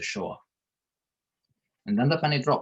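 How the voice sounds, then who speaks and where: A man speaks with an Eastern European accent at a fairly high pitch. Music plays in the background. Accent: Eastern European accent, noticeable. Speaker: psychotherapist, panel speaker. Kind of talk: prepared panel talk. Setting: video call.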